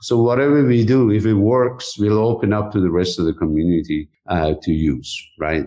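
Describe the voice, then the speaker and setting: A man's fairly low voice in a Persian accent, lively intonation, a moderate pace and hardly any pauses. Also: very even loudness. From Iran. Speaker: technology executive. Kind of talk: interview.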